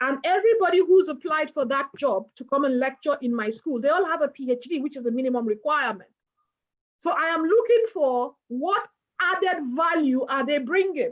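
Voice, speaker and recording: Her voice is high-pitched, and the woman keeps a moderate pace. The pitch swings very widely. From outside the UK. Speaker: professor, head of a law school. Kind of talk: webinar Q&A answer. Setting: online webinar.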